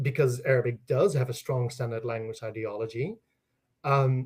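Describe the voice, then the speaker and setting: A man speaks with a Dutch accent. His voice is somewhat breathy. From Netherlands. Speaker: linguistics professor. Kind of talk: interview. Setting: livestream during a power outage. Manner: animated, with many fillers.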